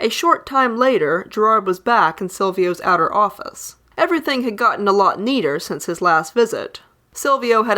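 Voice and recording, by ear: The clip is a reading. It is reading aloud in a natural voice.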